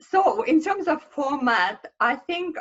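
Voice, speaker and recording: With a Russian accent, a woman speaks using lively intonation. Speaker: marketing consultant. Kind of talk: presentation. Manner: halting.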